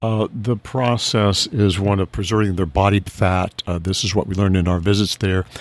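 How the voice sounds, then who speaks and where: A man with a fairly low pitch speaks with hardly any pauses, his voice dry and close with no echo. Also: moderate pace. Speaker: business owner, conservatory CEO. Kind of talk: casual interview chat. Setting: on location at a butterfly conservatory. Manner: mild-mannered with bursts of passion.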